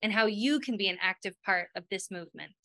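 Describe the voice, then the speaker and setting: A woman talks at a fairly quick pace with ordinary pitch variation. The sound is dry with no echo, and the background is quiet. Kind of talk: prepared presentation. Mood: warm and smiling. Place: home room. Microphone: webcam.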